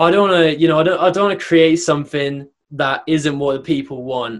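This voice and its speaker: Speaking with a British accent, a man keeps a moderate pace. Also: quiet background. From UK. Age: young. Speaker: brand designer. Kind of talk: casual interview.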